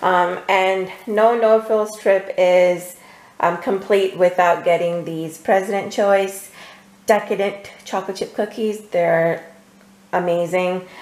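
A woman's slightly mellow, fairly low voice at a slow pace with fairly even intonation.

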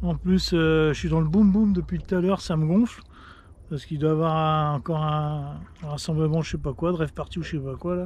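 A man talks at a fairly quick pace with fairly even intonation. The sound is dry with no echo. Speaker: fishing youtuber. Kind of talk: fishing vlog commentary. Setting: outdoors. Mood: slightly annoyed at the end. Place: boat.

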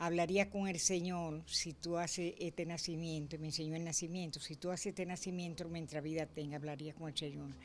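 A woman's fairly low, monotone, flat voice at a fairly quick pace with hardly any pauses and light background noise. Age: 80s+. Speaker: interviewee. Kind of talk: interview answer. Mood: earnest, devout storytelling. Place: home room. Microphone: handheld.

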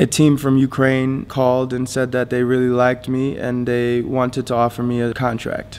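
The speaker has an American accent. Light background noise can be heard. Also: man. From Florida, US. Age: 20s. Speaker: professional basketball player. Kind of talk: personal story narration. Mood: calm, reflective. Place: stadium.

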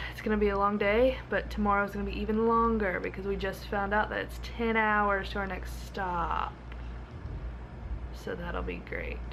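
Light background noise behind a woman speaking at a moderate pace. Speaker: travel vlogger. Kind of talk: casual vlog chat. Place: home room. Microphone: phone near.

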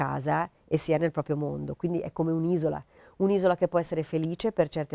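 Dark, mellow tone from a woman, dry with no echo, against a quiet background. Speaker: interviewee. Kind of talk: interview answer. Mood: relaxed, reflective. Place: home room.

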